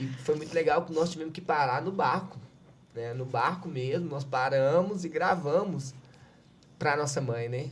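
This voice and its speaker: With a Minas Gerais accent, a man talks at a fairly slow pace in a fairly high pitch with ordinary pitch variation, and audible room echo surrounds his voice. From Minas Gerais, Brazil. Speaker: civil defense coordinator. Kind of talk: podcast interview, personal account.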